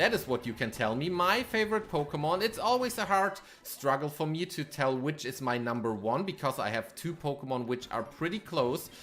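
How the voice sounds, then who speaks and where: Over music in the background, the speaker with a German accent makes very wide pitch swings. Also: man. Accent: German accent, non-native English. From Germany. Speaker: gaming streamer. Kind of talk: live stream gameplay commentary with chat. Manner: casual, hesitant with frequent fillers.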